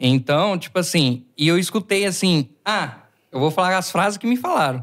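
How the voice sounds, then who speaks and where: This man talks at a moderate pace in a high pitch, his intonation lively. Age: 20s. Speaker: podcast host. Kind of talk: casual chat. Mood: relaxed, animated. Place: studio. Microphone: studio mic.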